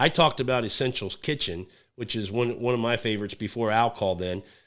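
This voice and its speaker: With an American accent, a man speaks fairly quickly in an unremarkable speaking voice at medium pitch, with ordinary pitch variation, on a very clean recording with a silent background. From California. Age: 50s. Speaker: podcast host. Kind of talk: casual chat.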